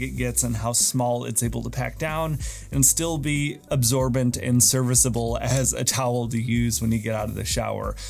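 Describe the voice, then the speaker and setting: Over faint background music, a man speaks at a moderate pace. He hardly pauses at all. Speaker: gear reviewer. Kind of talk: product review talk to camera. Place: home room.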